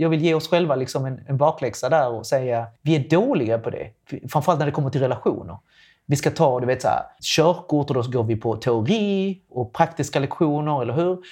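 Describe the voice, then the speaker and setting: Somewhat breathy and dark, mellow in tone, a man speaks at a fairly high pitch. His pace is fairly quick, with ordinary pitch variation. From Latin America. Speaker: sex educator. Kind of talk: casual chat.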